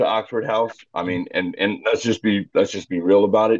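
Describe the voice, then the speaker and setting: Here is a man with an American accent and a normal speaking voice. His pitch sits fairly low. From Arizona, US. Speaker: sober living home operator. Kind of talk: interview. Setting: podcast.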